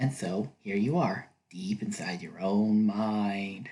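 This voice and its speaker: Quiet and with ordinary pitch variation, a man speaks in a soothing, playful tone. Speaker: ASMR video creator. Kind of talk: ASMR roleplay, role-play narration to the listener. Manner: quiet, soothing, casual, playful.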